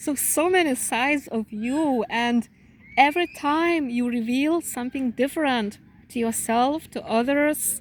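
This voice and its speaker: At a fairly slow pace, a woman speaks at a high pitch with ordinary pitch variation. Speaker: spiritual channeler giving readings. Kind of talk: channeled spiritual reading. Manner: calm.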